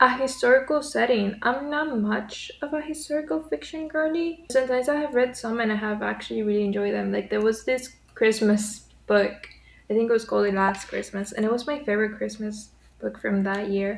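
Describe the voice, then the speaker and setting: With a Spanish accent, a woman speaks at a fairly quick pace in a fairly high pitch, her pitch variation ordinary. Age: 20s. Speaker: writer and book vlogger. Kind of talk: casual vlog chat.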